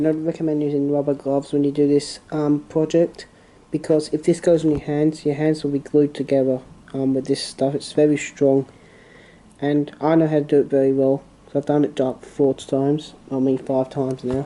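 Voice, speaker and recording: A man talks at a moderate pace in a monotone, flat delivery. His tone is dark and mellow. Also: fairly high pitch for a man. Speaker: hobbyist model railway maker. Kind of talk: tutorial. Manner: soft-spoken; halting.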